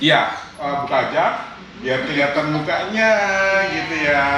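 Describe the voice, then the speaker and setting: Noticeable background noise sits behind a man who speaks at a fairly slow pace with a fairly high pitch and ordinary pitch variation. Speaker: voice actor. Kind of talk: interview host talk.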